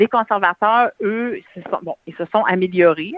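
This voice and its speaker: A woman talks at a moderate pace in a plain, everyday voice with fairly even intonation. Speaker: advocacy campaign founder, cancer survivor. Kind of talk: interview.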